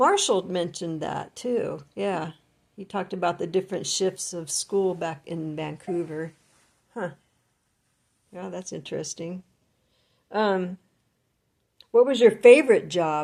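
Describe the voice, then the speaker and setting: On a very clean recording with a silent background, a woman at a medium pitch talks at a fairly slow pace with long, frequent pauses, big swings in loudness, and ordinary pitch variation. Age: 60s. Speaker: family interviewer. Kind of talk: oral history interview. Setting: at home.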